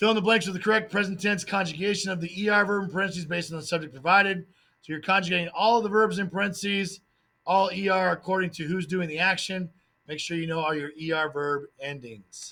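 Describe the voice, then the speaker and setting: In a raised, projected voice with a bright, sharp tone, the speaker goes at a very fast pace with fairly even intonation. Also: man, high pitch for a man. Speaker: Spanish teacher. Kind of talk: test review tutorial.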